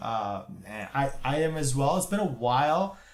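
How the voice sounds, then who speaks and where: A man with a fairly high pitch is heard with audible room echo. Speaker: gaming streamer. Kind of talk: live reaction stream. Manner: stuttering; animated.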